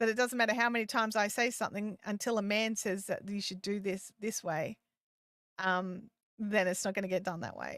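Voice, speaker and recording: In an Australian accent, a woman speaks with a fairly high pitch and ordinary pitch variation. Her pace is fairly quick, on a very clean recording with a silent background. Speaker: live streaming and YouTube coach. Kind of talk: live stream Q&A chat. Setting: live stream. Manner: casual, halting with repetitions.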